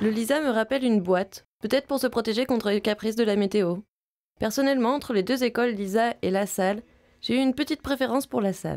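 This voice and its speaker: Speaking very fast at a fairly high pitch, a woman keeps her loudness very even. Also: ordinary pitch variation. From Vietnam, Ho Chi Minh City. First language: Vietnamese (speaking French). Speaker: film student. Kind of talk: scripted narration.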